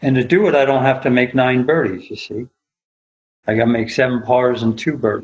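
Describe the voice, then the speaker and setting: Delivered at a fairly quick pace, a normal speaking voice moves with ordinary pitch variation. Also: man, medium pitch for a man. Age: 60s. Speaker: golf instructor. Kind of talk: casual chat.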